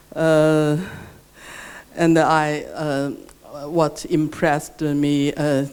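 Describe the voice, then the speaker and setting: A very slow delivery in a Chinese accent. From China. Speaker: researcher. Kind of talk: workshop reflection remarks. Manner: halting, many fillers and repetitions.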